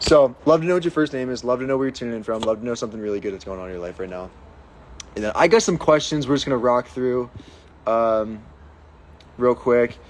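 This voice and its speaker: Talking at a very fast pace, a man with an American accent shows ordinary pitch variation. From Pittsburgh, Pennsylvania, US. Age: 20s. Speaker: fitness coach and online creator. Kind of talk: casual livestream Q&A. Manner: upbeat, animated.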